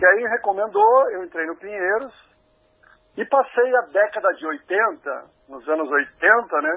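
Very slowly, a man speaks at a high pitch, his pitch swinging very widely and his loudness rising and falling sharply. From Brazil, São Paulo. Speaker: former Olympic swimmer and physical educator. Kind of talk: interview.

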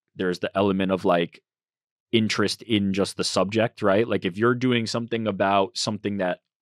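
A man with an unremarkable speaking voice and a fairly low pitch talks at a moderate pace, the sound dry and close with no echo on a very clean recording with a silent background. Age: 30s. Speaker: social media manager. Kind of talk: casual chat. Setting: studio.

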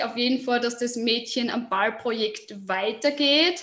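With a Burgenland accent, a woman speaks very slowly in a high voice with fairly even intonation. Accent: Austrian German, Burgenland. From Austria, southern Burgenland. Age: 20s. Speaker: football player and youth football coach. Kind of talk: interview. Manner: hesitant, many filler sounds.

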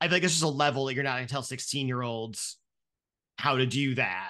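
An American accent from a man with a medium pitch and a bright, sharp tone. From rural Ohio. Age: 30s. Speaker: podcaster. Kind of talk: casual chat.

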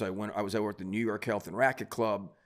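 On a very clean recording with a silent background, a man with an American accent uses a normal speaking voice at a fairly low pitch with fairly even intonation. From Cleveland area, Ohio. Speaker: high school basketball coach. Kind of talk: interview storytelling.

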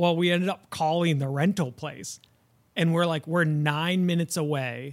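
The recording is very clean, with a silent background, and the man in it has an unremarkable speaking voice. His pitch is fairly high and his intonation fairly even. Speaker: guest, husband. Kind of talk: casual chat.

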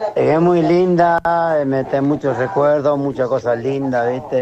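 There is noticeable noise in the background. The voice belongs to a man. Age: 70s. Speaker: caller. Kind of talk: casual chat.

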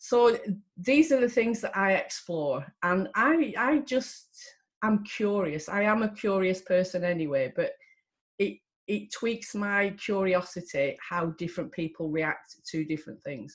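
Speaking in a Lancashire accent, a somewhat breathy woman at medium pitch talks at a fairly slow pace with very wide pitch swings. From Lancashire, northern England. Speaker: psychotherapist and coach. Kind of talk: casual talk to camera. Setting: video recording. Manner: direct, plain-spoken; hesitant, with fillers and repeats.

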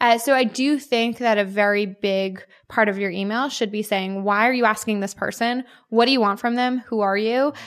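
In a very clean recording with a silent background, a woman with an ordinary speaking voice talks at a moderate pace and a fairly high pitch. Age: 20s. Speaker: startup founder and CEO. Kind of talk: interview.

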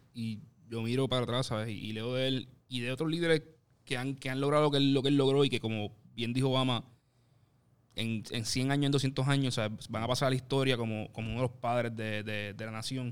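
A man talks in a normal speaking voice. His intonation stays fairly even. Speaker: podcast co-host, columnist. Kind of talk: casual discussion.

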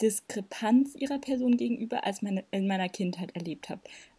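Her tone is dark and mellow. The woman's voice has a somewhat breathy quality. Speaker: podcast co-host. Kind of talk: casual chat.

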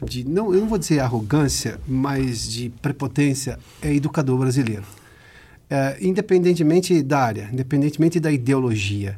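A man speaks at a moderate pace and medium pitch in a dark, mellow, somewhat breathy tone. The recording is very clean, with a silent background. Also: lively intonation. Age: 40s. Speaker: interviewer. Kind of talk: interview.

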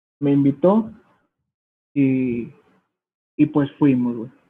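A man with a Mexican accent and ordinary pitch variation. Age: 20s. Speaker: youtuber and entrepreneur. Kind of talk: casual chat.

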